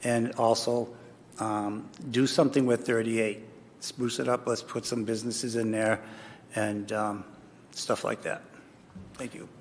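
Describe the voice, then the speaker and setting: The speaker, with an American accent, talks fairly slowly in a flat monotone. Long, frequent pauses break up the speech. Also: man, medium pitch for a man. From upstate New York. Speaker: political candidate. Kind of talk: candidate forum answer. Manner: halting, many fillers.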